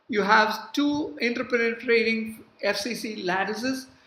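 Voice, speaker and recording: A woman speaks with a fairly high pitch and fairly even intonation at a fairly slow pace. Noticeable background noise and audible room echo are in the recording. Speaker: university professor. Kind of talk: lecture. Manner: hesitant, many fillers.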